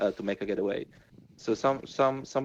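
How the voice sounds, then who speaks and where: A mumbling man with ordinary pitch variation. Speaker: NFT game project team member. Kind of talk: casual interview chat. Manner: halting, many fillers.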